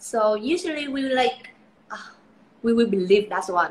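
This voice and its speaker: A woman speaks with a Vietnamese accent and ordinary pitch variation. Noticeable background noise is present. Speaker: beauty pageant titleholder. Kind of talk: live interview. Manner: halting, with many fillers.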